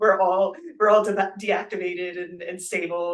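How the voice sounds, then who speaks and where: The speaker talks at a fairly slow pace with a Korean accent. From US, Korean-American household. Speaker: Buddhist renunciate and meditation practitioner. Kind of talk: interview conversation. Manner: hesitant, many fillers.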